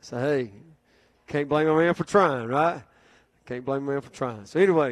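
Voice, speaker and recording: A man talks at a moderate pace. There is little sound around him. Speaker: pastor giving announcements. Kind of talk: sermon. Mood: relaxed, humorous. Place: church. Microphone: handheld.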